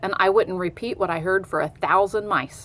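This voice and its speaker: A woman's growling put-on character voice at a medium pitch and a moderate pace. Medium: read story. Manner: gentle, motherly.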